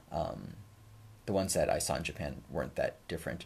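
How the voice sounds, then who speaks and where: A man mumbles at a moderate pace. Vocal fry runs through his voice. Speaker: shamisen teacher and livestream host. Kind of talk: casual livestream Q&A chat. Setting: YouTube livestream at home. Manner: mumbling; hesitant, many fillers. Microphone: new microphone.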